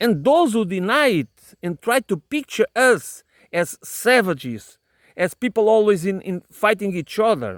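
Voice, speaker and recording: A man with a non-native accent, high-pitched, with lively intonation and a fairly slow pace, in a very clean recording with a silent background and a dry, close sound with no echo. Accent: non-native English pronunciation. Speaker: political commentator. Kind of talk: solo monologue. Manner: halting, many repetitions and fillers.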